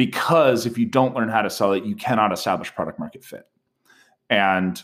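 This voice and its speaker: A man at a fairly quick pace on a very clean recording with a silent background. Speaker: startup co-founder and sales executive. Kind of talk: casual interview. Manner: clear diction.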